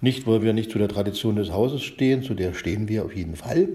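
Somewhat breathy and dark, mellow in tone, a man's fairly low voice shows ordinary pitch variation. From eastern Germany, Spreewald (Brandenburg). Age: 50s. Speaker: library director, computer scientist. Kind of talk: casual chat. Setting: recorded separately via chat app. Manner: halting, many fillers.

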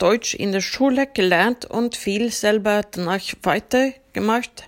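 A woman with a Swedish accent and ordinary pitch variation. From Sweden, Uppsala. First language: Swedish (speaking German). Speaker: sound engineer. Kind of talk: interview.

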